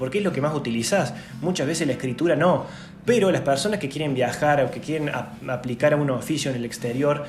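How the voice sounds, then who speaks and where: Music plays in the background and room echo is audible as a man speaks at a fairly quick pace, fairly high in pitch with ordinary pitch variation. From Argentina, Córdoba. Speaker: YouTuber, language tips. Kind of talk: tutorial. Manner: casual, informal.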